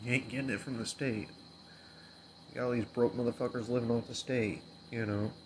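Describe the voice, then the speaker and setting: A somewhat breathy man at medium pitch, fairly even in intonation, with long, frequent pauses. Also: fairly quick pace. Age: 30s. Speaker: podcast host. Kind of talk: casual monologue.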